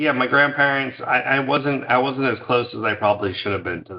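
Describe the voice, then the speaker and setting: This man has an unremarkable speaking voice with an American accent and medium pitch. He talks at a fairly quick pace, with ordinary pitch variation and big swings in loudness. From New York, Scarsdale suburb. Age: 50s. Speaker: company founder. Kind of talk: interview.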